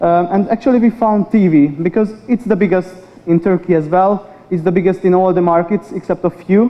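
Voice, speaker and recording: Speaking with very even loudness and a fairly even intonation, a man holds a high pitch. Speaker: media research industry manager. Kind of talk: conference presentation. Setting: stage with audience. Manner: fast talker. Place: hall.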